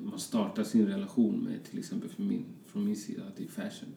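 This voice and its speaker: Audible room echo is present throughout. The man's delivery keeps a moderate pace. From Colombia, Bogotá, moved to Sweden young. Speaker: fashion designer. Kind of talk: casual interview chat.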